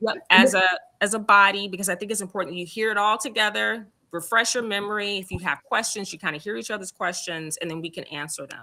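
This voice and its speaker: A woman speaks at a very fast pace with a medium pitch and ordinary pitch variation. Her loudness swings widely. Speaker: school district support staff explaining principal selection. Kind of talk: briefing at a school council meeting.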